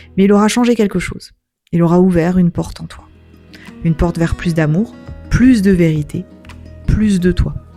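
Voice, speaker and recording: With music in the background, a woman speaks at a moderate pace in a fairly low, gentle voice with fairly even intonation. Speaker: wellbeing practitioner. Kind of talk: introspective voice-over. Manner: gentle, soft-spoken.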